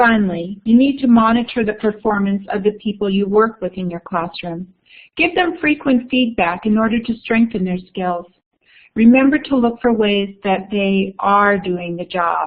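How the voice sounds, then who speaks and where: The speaker sounds somewhat breathy, with ordinary pitch variation. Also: woman. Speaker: education workshop presenter. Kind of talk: online webinar presentation.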